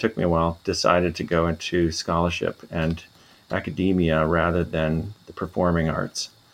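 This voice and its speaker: A man speaks at a moderate pace. His voice is very deep and low. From US Midwest, Minnesota. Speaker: musicology professor. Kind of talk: interview.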